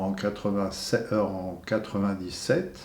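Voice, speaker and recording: A man speaks at a fairly low pitch, his tone dark and mellow. The room echo is audible. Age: 70s. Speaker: retired museum security guard. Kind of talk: testimony. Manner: halting, many hesitations.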